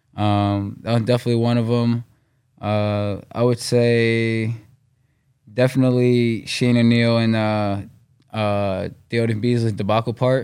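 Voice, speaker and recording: With a New York accent, a man speaks at a medium pitch and fairly slow pace in a monotone, flat intonation, with very even loudness. Long, frequent pauses break his speech, and the recording is very clean with a silent background. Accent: New York area American. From US Northeast, Westchester, New York. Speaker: professional skateboarder. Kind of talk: casual interview.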